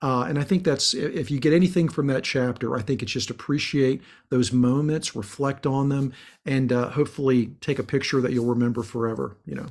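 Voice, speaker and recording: A man with an ordinary speaking voice talks at a fairly quick pace in a medium pitch with ordinary pitch variation, on a very clean recording with a silent background. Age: 50s. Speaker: executive coach and author. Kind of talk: casual interview.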